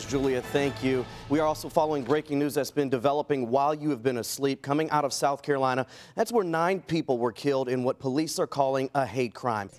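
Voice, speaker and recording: Very fast speech with ordinary pitch variation and very even loudness sits over background music, the sound dry and close with no echo. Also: man, fairly high pitch for a man. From American, Kentucky. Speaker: news anchor and reporter. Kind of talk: television news anchor read.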